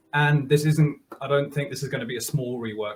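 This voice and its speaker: A man speaks at a medium pitch, a little breathy in tone. His pace is fairly quick and his intonation stays fairly even. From Germany. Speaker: software developer; guest. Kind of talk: casual interview. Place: home room.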